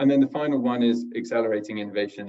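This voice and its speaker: A man at a very fast pace with fairly even intonation, over a quiet background. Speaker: corporate sustainability director; guest. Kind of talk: webinar presentation. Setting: video call. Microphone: video call.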